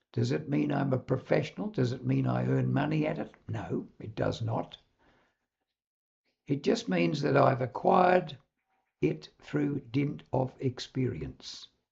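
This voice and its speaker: With a New Zealand accent, a man speaks at a fairly slow pace. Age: 80s+. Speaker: public speaking coach. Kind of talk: direct-to-camera talk.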